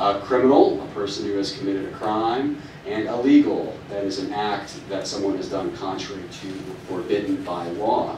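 A man's voice comes with audible room echo and light noise in the background. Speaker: presenter. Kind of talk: lecture. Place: meeting room.

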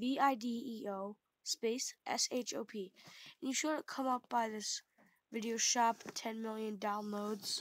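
A woman speaks with fairly even intonation in a dry sound that has no echo. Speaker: app tutorial narrator. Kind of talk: casual tutorial.

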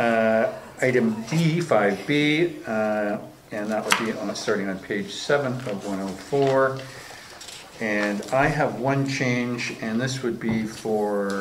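Over light background noise, a man talks at a very slow pace with ordinary pitch variation. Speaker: council meeting chair. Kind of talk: meeting chairing. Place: meeting room.

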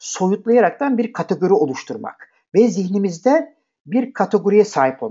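A man with a high pitch speaks very slowly, his voice making very wide pitch swings. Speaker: programming instructor. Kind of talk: lecture. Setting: live online class. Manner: hesitant fillers.

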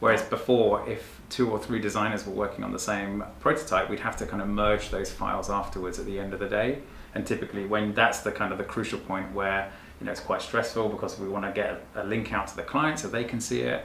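Audible room echo and light background noise accompany a man talking at a fairly quick pace. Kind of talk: interview answer. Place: office.

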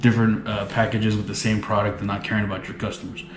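Fairly low-pitched male speech with audible room echo and light background noise. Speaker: vlogger. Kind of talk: casual vlog chat. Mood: amused, exasperated storytelling. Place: home room. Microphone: phone near.

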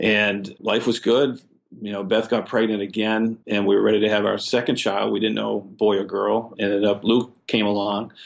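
With an American accent, a man speaks at a fairly low pitch and moderate pace, with vocal fry and monotone, flat intonation. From Boston area, Massachusetts. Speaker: foundation co-founder and parent of a sick child. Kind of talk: interview, personal story.

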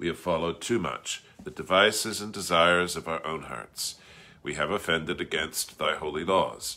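His pitch is very deep and low, yet his tone is bright and sharp. The man keeps a moderate pace. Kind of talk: liturgical reading. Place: home room. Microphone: phone near.

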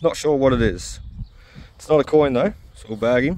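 A man with an Australian accent speaks at a moderate pace in a dry sound with no echo. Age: 30s. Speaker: metal detecting YouTuber. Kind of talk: casual vlog commentary. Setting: outdoors. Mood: reflective, a bit upset. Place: park. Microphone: phone near.

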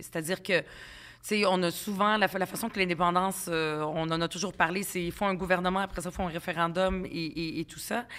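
A woman speaks in a medium-pitched voice. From Quebec, arrived at 10 from Lebanon, Palestinian family. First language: Arabic (speaking French). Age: 40s. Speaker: provincial politician. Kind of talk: podcast interview. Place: studio. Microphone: studio mic.

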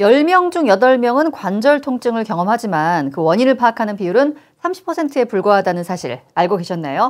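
Against a quiet background, the speaker moves at a moderate pace with very wide pitch swings. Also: woman. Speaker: talk show host. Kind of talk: casual chat. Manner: chatty, talkative. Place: studio. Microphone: lapel.

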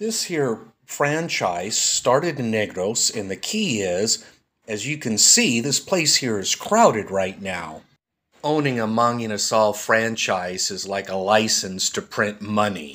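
A man with an American accent uses an unremarkable speaking voice at medium pitch. He speaks at a fairly slow pace with ordinary pitch variation. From United States. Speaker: food reviewer. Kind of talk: dubbed voice-over.

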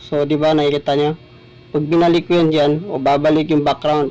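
A man speaks with monotone, flat intonation. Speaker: small YouTuber. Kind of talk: tutorial.

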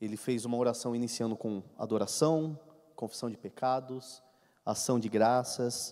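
Against a quiet background, a man speaks at a moderate pace in a medium-pitched, dark, mellow voice with fairly even intonation. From Brazil. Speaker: Bible study teacher. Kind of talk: Bible study lecture. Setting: church hall with microphone. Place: church. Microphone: handheld.

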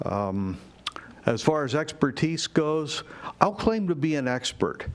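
Talking fairly slowly and with lively intonation, a man is heard against noticeable background noise. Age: 70s. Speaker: public commenter at city council meeting. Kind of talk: public comment. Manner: halting.

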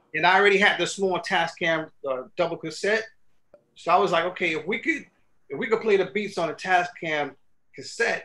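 Speaking at a fairly quick pace, a high-pitched man with a bright, sharp tone shows ordinary pitch variation and takes long, frequent pauses. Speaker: hip hop producer; guest. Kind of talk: casual interview. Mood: relaxed reflective storytelling. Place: studio.

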